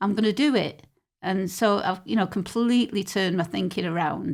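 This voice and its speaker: A woman in a Mancunian accent speaks at a fairly quick pace and medium pitch with ordinary pitch variation, on a very clean recording with a silent background. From Manchester, England. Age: 60s. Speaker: poet and battle rapper. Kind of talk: podcast interview. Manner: halting.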